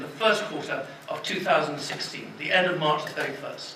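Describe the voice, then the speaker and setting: High male voice with lively intonation, plus audible room echo and noticeable background noise. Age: 60s. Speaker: politician in a debate panel. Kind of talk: public debate. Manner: stammering restarts.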